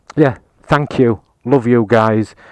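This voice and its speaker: A man speaks with a Yorkshire accent and fairly even intonation. The sound is dry and close with no echo, against a quiet background. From Yorkshire, England. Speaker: motorcycle reviewer. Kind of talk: casual video review. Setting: outdoors on a hilltop. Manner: hesitant, many fillers.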